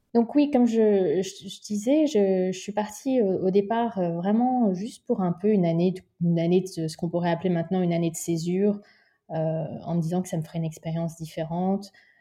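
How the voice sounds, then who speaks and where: A woman speaks at a moderate pace with medium pitch in a somewhat breathy, dark, mellow tone. The background is quiet. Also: ordinary pitch variation. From Paris region, France. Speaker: social entrepreneur, former international diplomat. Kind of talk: interview. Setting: remote recording. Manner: halting, frequent repetitions and hesitations.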